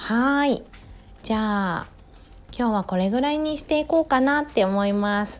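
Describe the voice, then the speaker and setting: A woman with a fairly high pitch speaks at a fairly slow pace, her tone relaxed and gentle and her intonation lively. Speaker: podcaster, yoga instructor and mother. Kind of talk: casual solo monologue. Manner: relaxed, gentle pace.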